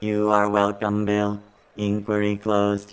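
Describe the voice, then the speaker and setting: A man speaks in a put-on character voice, fairly low-pitched and monotone with flat intonation, at a fairly slow pace. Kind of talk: old-school robot voice. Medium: audio drama. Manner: monotone, emotionless, literal.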